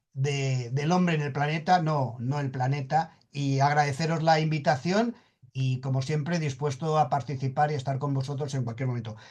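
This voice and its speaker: Here a man talks in a fairly high pitch with ordinary pitch variation. His voice is somewhat breathy. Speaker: sustainability expert speaker. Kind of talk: conference presentation. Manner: halting, repeats words.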